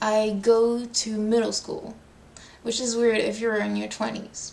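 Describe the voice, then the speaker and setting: A woman speaks very slowly in a French accent. There is noticeable background noise. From France. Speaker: language tutor. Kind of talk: tutorial.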